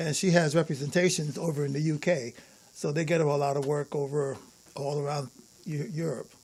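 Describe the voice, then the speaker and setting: With a New York accent, a man talks in a fairly high pitch and fairly even intonation. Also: fairly quick pace. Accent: New York (Bronx). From Bronx, New York. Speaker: jazz bassist. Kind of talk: casual interview. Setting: studio.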